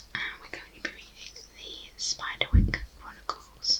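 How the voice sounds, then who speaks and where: Whispering at a very slow pace, the speaker comes through noticeable background noise. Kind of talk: ASMR intro talk to viewers. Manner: whispered.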